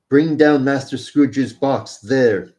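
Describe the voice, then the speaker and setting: A man uses a booming, put-on character voice at a medium pitch. He speaks at a fairly slow pace with fairly even intonation. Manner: commanding, shouting.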